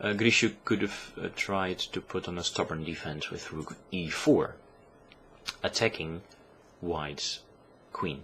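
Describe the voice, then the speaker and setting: With a non-native accent, a man speaks at a fairly slow pace, leaving long, frequent pauses. His pitch is very deep and low, with ordinary variation. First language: not English. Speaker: chess commentator. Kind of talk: game analysis commentary. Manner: hesitant, many filler sounds.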